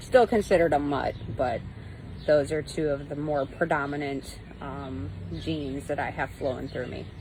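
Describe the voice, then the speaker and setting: A woman with a very deep, low pitch speaks at a moderate pace with ordinary pitch variation, vocal fry, and big swings in loudness. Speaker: pagan teacher livestreamer. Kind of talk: live-streamed teaching talk. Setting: live stream on mobile data. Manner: casual with frequent fillers.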